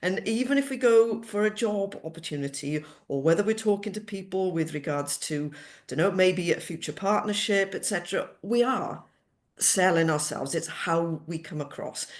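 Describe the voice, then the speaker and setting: A woman with a Welsh accent and lively intonation over a quiet background. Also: medium pitch for a woman, moderate pace. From Wales, Cardiff area. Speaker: cost savings specialist. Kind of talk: interview.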